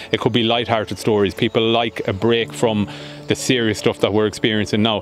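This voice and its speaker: Faint music plays behind a man with a fairly low pitch and ordinary pitch variation. He talks at a fairly quick pace, and the sound is dry with no echo. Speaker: newspaper journalist. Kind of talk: interview answer. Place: garden. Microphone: handheld.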